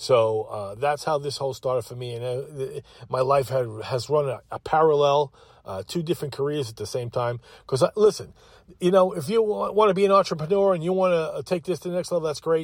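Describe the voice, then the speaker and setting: A man with a Long Island accent speaks fairly quickly in a fairly high, somewhat breathy voice with lively intonation. The recording is very clean, with a silent background. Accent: New York (Long Island). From Long Island, New York. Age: 60s. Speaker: podcast host. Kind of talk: solo monologue. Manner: halting, many fillers; animated.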